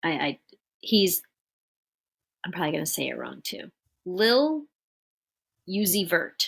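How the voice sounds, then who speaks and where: Speaking at a medium pitch with vocal fry, a woman moves at a fairly slow pace. Her pitch swings very widely, and she leaves long, frequent pauses. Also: big swings in loudness. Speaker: podcast co-host. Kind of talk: casual chat.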